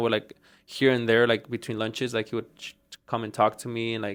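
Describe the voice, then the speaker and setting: A man speaks with a slight Mexican accent. The recording is very clean, with a silent background. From Mexico. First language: Spanish. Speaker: auto shop owner. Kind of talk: casual interview chat. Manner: halting, many fillers and repeats.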